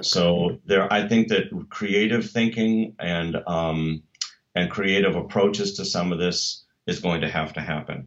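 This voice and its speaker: An American accent from a man with an ordinary speaking voice, fairly low pitch, fairly even intonation and a fairly slow pace. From United States. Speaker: church musician and ministry director. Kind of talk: interview. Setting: video call.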